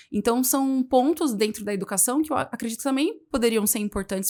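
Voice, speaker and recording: Over a very clean recording with a silent background, a woman talks at a very fast pace with a fairly high pitch and ordinary pitch variation. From Brazil, Jundiaí, São Paulo interior. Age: 30s. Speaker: history teacher and teacher trainer. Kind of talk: podcast interview.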